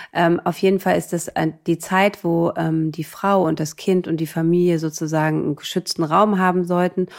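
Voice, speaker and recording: A woman speaks at a moderate pace with fairly low pitch. Her intonation is monotone and flat. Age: 30s. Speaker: midwife. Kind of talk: casual chat.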